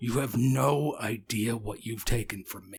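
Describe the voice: Putting on a gravelly character voice, a man speaks at a medium pitch and moderate pace.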